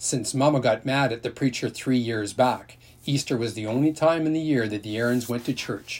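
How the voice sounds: It is a natural reading voice. The pitch varies in an ordinary way.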